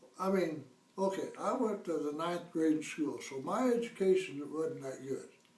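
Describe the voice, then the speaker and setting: Amid noticeable background noise and audible room echo, a man with a high pitch for a man talks at a moderate pace with ordinary pitch variation. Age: 70s. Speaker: fire victim homeowner. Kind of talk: interview.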